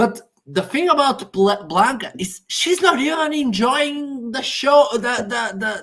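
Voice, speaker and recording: A woman with a high voice talks at a fairly slow pace with hardly any pauses, her pitch swinging very widely. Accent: Portuguese. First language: Portuguese. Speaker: Eurovision discussion co-host. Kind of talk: casual chat. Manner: halting.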